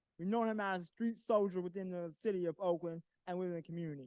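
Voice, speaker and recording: A loud man speaks with ordinary pitch variation in a dry, close sound with no echo. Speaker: community activist, public commenter. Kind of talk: public comment at town hall. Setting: town hall meeting in council chambers.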